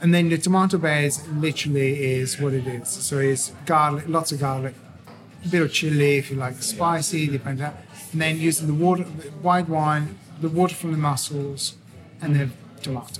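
This man has a fairly high pitch and an Italian accent. He talks at a moderate pace over music in the background. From Tuscany, Italy. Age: 40s. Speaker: chef. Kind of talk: casual chat. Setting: indoor cafe with music.

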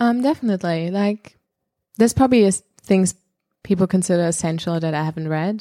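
A woman with a German accent, medium-pitched, dark and mellow in tone, very fast yet broken by long, frequent pauses, ordinary pitch variation, dry and close with no echo. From Germany. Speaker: comedian. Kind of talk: casual chat. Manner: halting.

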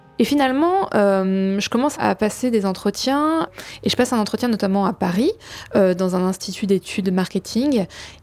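On a very clean recording with a silent background, a woman speaks at a moderate pace in a medium pitch, her loudness very even and her intonation lively. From France, Champagne (village near Reims). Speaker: testimony guest. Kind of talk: personal testimony. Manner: hesitant.

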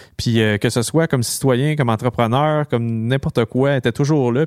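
Speaking very fast with a Quebec accent, a man holds a medium pitch and fairly even intonation on a very clean recording with a silent background and a dry, close sound with no echo. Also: hardly any pauses. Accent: Québécois French. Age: 30s. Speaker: podcast entrepreneur and political candidate. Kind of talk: casual chat.

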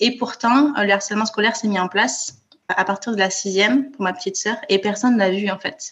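A woman speaks in an ordinary speaking voice at a medium pitch, moving at a fairly quick pace with fairly even intonation. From France, Toulouse. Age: 30s. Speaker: author and bereaved sister. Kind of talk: interview testimony. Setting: remote call.

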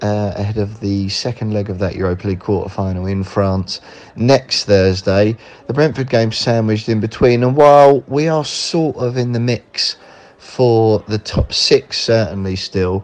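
Against noticeable background noise, a man speaks at a moderate pace. His voice is fairly low, with ordinary pitch variation. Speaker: West Ham fan guest. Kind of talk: casual football chat.

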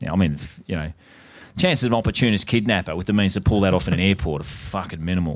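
A man with an Australian accent, very deep, low pitch, ordinary pitch variation and a very fast pace. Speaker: podcast co-host. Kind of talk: casual chat.

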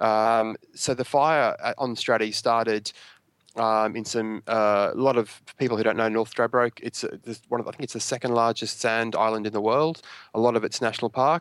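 In a very clean recording with a silent background and a dry, close sound with no echo, a man speaks at a moderate pace with medium pitch and fairly even intonation. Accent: Australian. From Australia, Brisbane. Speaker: local government digital communications manager. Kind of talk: interview. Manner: halting, many fillers and repeats.

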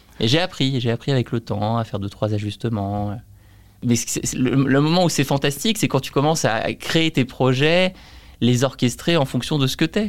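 A man speaks in an ordinary speaking voice at a medium pitch and moderate pace, with lively intonation. The recording is very clean, with a silent background. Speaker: entrepreneur. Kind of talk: casual interview.

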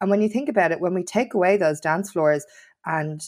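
A woman with a Dublin accent speaks with ordinary pitch variation on a very clean recording against a silent background. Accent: Irish (Dublin). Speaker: nail salon owner and podcast presenter, nightlife campaigner. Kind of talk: interview conversation.

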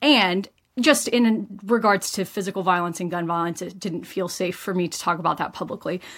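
A woman's medium-pitched voice with a Texan accent. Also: ordinary pitch variation, moderate pace, very clean recording, silent background. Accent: Texan American. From US, rural West Texas. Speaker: doctor. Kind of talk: interview.

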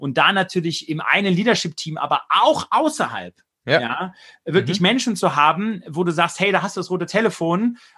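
In a quiet setting, a man projects a raised, high-pitched voice with a bright, sharp tone, lively intonation and a moderate pace. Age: 40s. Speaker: business leader and author. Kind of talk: interview.

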